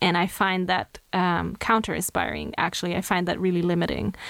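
On a very clean recording with a silent background, a woman with a Slovenian accent speaks at a moderate pace in a fairly low pitch. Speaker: makeup artist and hairstylist. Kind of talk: interview chat.

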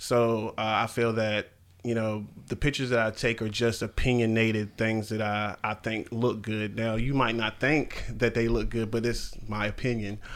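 A man talks at a moderate pace and a medium pitch, his intonation monotone and flat. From North Carolina (born in New York). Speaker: podcast co-host, artist and photographer. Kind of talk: casual chat.

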